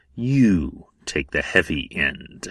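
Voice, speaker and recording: A growling, put-on character voice. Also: man, fairly low pitch for a man. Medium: read story. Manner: gruff, contemptuous.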